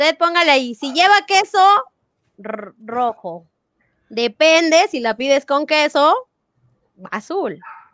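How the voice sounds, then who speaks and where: A woman talks very slowly in a high voice with very wide pitch swings, and the sound is dry and close with no echo. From Mexico City metropolitan area. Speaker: primary school teacher and educational materials creator. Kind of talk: live quiz hosting; casual chat. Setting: video call livestream.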